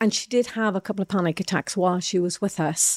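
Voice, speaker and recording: A woman with an Irish accent speaks at a very fast pace, medium in pitch, with fairly even intonation. The recording is very clean, with a silent background and a dry, close sound with no echo. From Ireland. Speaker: entrepreneur and former athlete. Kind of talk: interview.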